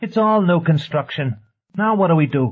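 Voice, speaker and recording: This man uses a put-on character voice pitched high, at a moderate pace. His intonation is lively. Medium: read story.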